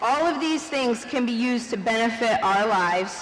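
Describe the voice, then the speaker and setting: Over noticeable background noise and audible room echo, a woman with a fairly high pitch speaks at a moderate pace with lively intonation. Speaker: vice principal. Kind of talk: graduation speech. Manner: animated, loud.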